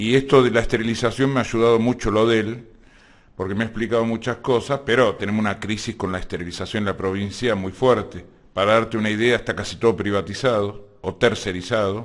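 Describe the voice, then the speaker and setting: With an Argentine accent, a man speaks at a fairly quick pace and medium pitch, keeping his intonation fairly even. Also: quiet background. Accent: Rioplatense Argentine Spanish. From Argentina, Buenos Aires area (Lanús/Avellaneda). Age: 60s. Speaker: activist working on provincial hospital issues. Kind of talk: casual interview.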